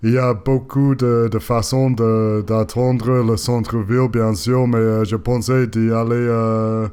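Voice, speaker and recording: At a very slow pace and with hardly any pauses, a man speaks in a medium pitch with very even loudness and fairly even intonation. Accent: non-native. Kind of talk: voice-over narration of bike ride video. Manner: hesitant, many filler sounds.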